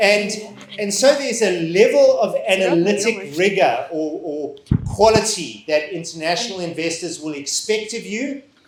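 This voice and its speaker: A man speaks at a high pitch and moderate pace with ordinary pitch variation. Noticeable background noise and audible room echo are present. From Southern Africa. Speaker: finance education speaker. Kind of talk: seminar presentation. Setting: seminar hall with audience. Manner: loud, projected.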